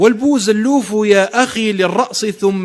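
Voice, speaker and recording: A very slow, high-pitched male voice with ordinary pitch variation against noticeable background noise. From Algeria. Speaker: poet. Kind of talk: poetry reading.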